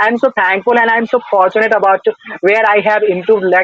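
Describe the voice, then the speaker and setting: A man speaks at a very fast pace in a high pitch. His intonation is flat and monotone. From North India. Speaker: English learner interviewee. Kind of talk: casual conversation practice. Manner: halting, many fillers and restarts.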